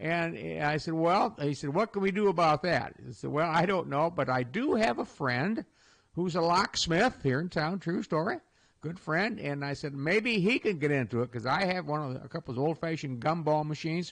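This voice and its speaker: A man with a Midwestern American accent talks at a moderate pace in a fairly high voice, his intonation lively against a quiet background. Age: 70s. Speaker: radio host. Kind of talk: casual radio talk. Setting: studio. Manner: halting.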